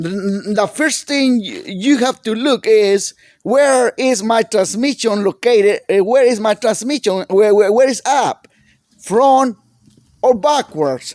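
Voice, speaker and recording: At a very slow pace, a man with a high pitch and a strong non-native accent talks with ordinary pitch variation in a dry, close sound with no echo. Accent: heavy foreign. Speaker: small engine repair mechanic. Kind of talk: tutorial. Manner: halting.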